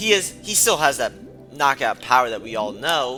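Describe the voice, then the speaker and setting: A man keeps to a moderate pace while music plays behind him. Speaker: fight sports commentator. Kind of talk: casual talk to camera.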